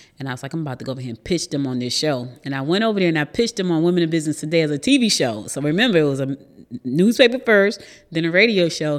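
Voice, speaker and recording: In an American accent, a woman with a very deep, low voice talks very fast, her pitch swinging very widely. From New Jersey. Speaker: media company founder and show host. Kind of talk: interview.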